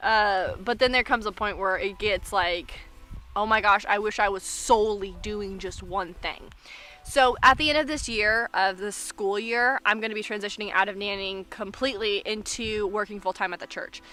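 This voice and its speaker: With music in the background, the speaker keeps a moderate pace and fairly even intonation. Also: woman, medium pitch for a woman. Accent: American. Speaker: vlogger. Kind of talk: casual vlog monologue. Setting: outdoors in the woods. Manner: loud.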